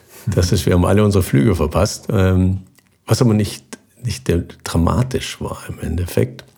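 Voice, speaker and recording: At a moderate pace broken by long, frequent pauses, a man with a very deep, low pitch speaks with ordinary pitch variation. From southern Germany, near Basel on the Swiss border. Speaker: expedition sailor and former navy navigator. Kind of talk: interview.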